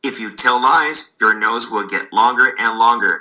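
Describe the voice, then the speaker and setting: Using a put-on character voice, a man speaks at medium pitch and a moderate pace. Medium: read story.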